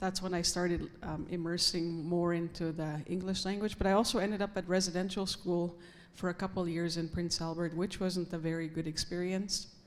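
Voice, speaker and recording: A woman with a fairly low pitch speaks at a fairly quick pace in a monotone, flat delivery with hardly any pauses. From northern Saskatchewan, Canada. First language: Cree. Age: 40s. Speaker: First Nations chief. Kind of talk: panel discussion.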